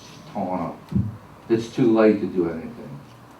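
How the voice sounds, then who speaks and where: Over noticeable background noise and audible room echo, a man with a fairly low pitch talks at a moderate pace with fairly even intonation. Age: 70s. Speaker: public commenter at council meeting. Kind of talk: public comment. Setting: council meeting chamber.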